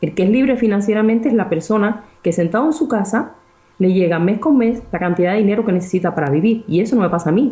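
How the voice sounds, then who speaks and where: This woman talks at a very fast pace in a dark, mellow tone that is somewhat breathy, with lively intonation. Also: very even loudness. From Cuba. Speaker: research scientist and property investor. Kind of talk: interview.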